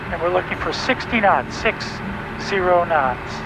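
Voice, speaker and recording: The sound is dry with no echo, the pace fairly slow, and there is noticeable background noise. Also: man. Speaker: flight instructor pilot. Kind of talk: instructional commentary and radio calls. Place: plane. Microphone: headset.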